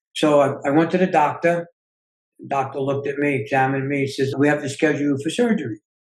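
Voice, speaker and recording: This man's pitch is fairly high and his voice somewhat breathy. He speaks at a fairly quick pace. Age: 60s. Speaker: self-healing coach and author. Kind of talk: interview.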